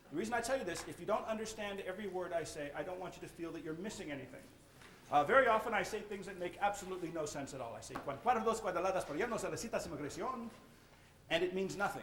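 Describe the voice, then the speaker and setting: Speaking at a very fast pace, a man uses a high pitch. The room echo is audible, and there is noticeable background noise. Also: ordinary pitch variation. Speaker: magician. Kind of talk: lecture.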